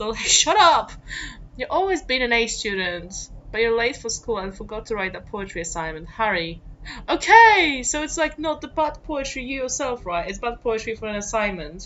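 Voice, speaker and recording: A woman with a non-native accent and a fairly high pitch speaks at a moderate pace with very wide pitch swings, over noticeable background noise. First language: not English. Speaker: gamer playing a writing game. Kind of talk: casual let's play commentary. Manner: animated.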